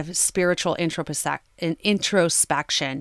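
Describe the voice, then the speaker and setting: Here is a woman with an ordinary speaking voice, fairly low-pitched and with fairly even intonation. The sound is dry and close with no echo, on a very clean recording with a silent background. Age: 40s. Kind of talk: solo podcast monologue with personal testimony. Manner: casual, with frequent filler words.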